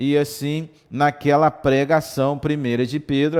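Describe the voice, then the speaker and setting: Here a man is talking. His pace is very slow. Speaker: Sunday school teacher. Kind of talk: Bible lesson. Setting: livestream and web radio.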